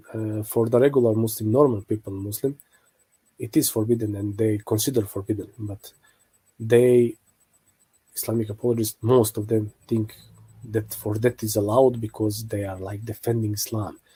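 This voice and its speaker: Speaking with a non-native accent, a man talks at a moderate pace and medium pitch, his dark, mellow voice somewhat breathy, with fairly even intonation and long, frequent pauses. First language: not English. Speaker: religious apologetics video maker. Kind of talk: online video commentary. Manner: halting, many fillers.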